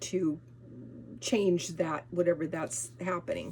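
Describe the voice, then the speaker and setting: A woman speaks with an American accent. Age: 70s. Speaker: lifestyle vlogger. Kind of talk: casual vlog talk. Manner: halting, many restarts and fillers.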